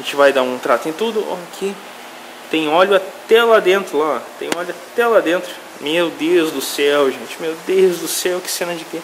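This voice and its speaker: A man with a high pitch talks at a moderate pace, his pitch varying an ordinary amount. His loudness swings widely, and there is noticeable background noise. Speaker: mechanic and YouTube channel host. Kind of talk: workshop tutorial video. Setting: mechanic workshop. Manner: animated. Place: workshop. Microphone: phone near.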